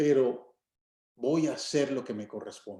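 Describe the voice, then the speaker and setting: The tone of this man's voice is dark and mellow. He speaks at a very slow pace. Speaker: pastor. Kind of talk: sermon.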